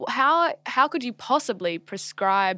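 Recorded very cleanly against a silent background, the sound dry and close with no echo, a woman with an Australian accent speaks in a bright, sharp tone at a fairly high pitch. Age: 20s. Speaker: podcast host. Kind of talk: casual chat.

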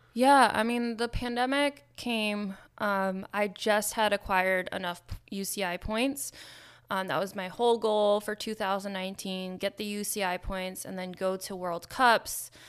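In a very clean recording with a silent background, a woman with an American accent speaks fairly slowly in an unremarkable speaking voice with fairly even intonation. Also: medium pitch for a woman. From New York, Nyack. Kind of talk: casual interview chat. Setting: studio.

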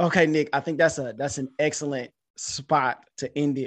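A man with an unremarkable speaking voice talks at a moderate pace, fairly high in pitch and fairly even in intonation. The background is quiet. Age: 30s. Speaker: podcast host and teacher. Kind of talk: casual chat; outro sign-off.

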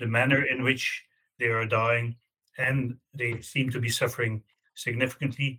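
A man with a Belgian accent speaks at a moderate pace and a medium pitch. His tone is bright and sharp, with monotone, flat intonation. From Belgium. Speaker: law professor. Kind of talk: interview.

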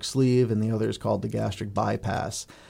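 A man speaks in an unremarkable speaking voice at medium pitch with fairly even intonation. The recording is very clean, with a silent background. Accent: American. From US Northeast, Connecticut. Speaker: surgeon. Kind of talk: interview.

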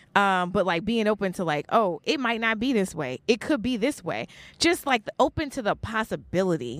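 Recorded with a dry, close sound with no echo and a very clean, silent background, a woman talks at a fairly quick pace with hardly any pauses and very wide pitch swings. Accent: American. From New York (Brooklyn). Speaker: geneticist and podcaster. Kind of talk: casual interview chat.

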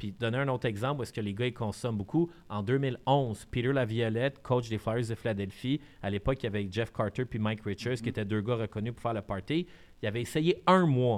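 Over a silent background in a very clean recording, a man with a medium pitch and ordinary pitch variation speaks at a fairly quick pace. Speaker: podcast co-host, media entrepreneur. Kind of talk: casual chat.

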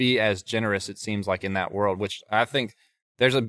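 A man speaks with a Southern US accent at a fairly low pitch and a moderate pace. His tone is bright and sharp with fairly even intonation, on a very clean recording with a silent background and a dry, close sound with no echo. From North Carolina. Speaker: songwriter. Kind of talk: casual interview chat. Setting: studio.

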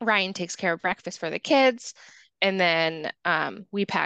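Against a quiet background, a woman with an unremarkable speaking voice and a medium pitch talks at a fairly slow pace, the sound dry and close with no echo. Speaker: podcast co-host and mother. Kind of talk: casual chat.

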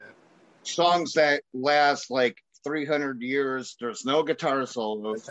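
Very slowly, a man in an American accent speaks at a fairly high pitch, with ordinary pitch variation and big swings in loudness. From Chicago, US Midwest. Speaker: podcast host. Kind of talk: casual chat. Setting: phone call.

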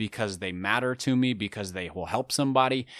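A man with a normal speaking voice goes at a moderate pace in a very clean recording with a silent background. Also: dry, close sound with no echo. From US, urban area. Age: 30s. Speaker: author and podcaster. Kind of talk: interview conversation.

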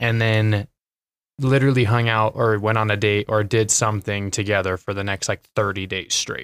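In an Idaho accent, a man speaks with a dry, close sound and no echo. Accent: Idaho American. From Twin Falls, Idaho. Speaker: former college basketball player, business developer. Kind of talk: casual interview chat.

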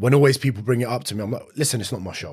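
With a London accent, a man speaks in an animated tone that is somewhat breathy. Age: 30s. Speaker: personal trainer. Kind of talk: casual chat. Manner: blunt, animated, swears often.

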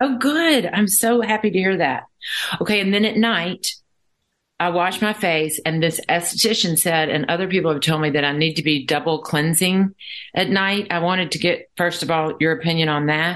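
A plain, everyday voice from a woman, fairly low in pitch with ordinary pitch variation, very even in loudness, at a moderate pace. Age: 60s. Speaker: podcast host. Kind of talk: interview.

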